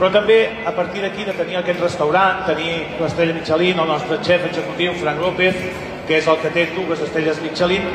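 A high-pitched man talks at a fairly quick pace amid audible room echo and noticeable background noise. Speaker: cooking school teacher. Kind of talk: presentation to audience. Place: hall.

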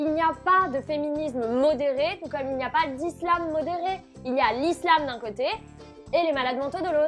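Faint music plays in the background as a woman with a high pitch speaks at a moderate pace with ordinary pitch variation. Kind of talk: opinion commentary vlog. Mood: ironic, sarcastic. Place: home room. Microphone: lapel.

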